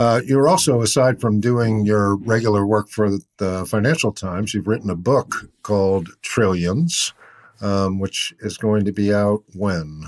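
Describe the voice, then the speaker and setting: A man with an American accent speaks in a plain, everyday voice, fairly low in pitch with ordinary pitch variation, at a fairly slow pace, on a very clean recording with a silent background. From Boston, US. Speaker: podcast host and newsletter writer. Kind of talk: interview.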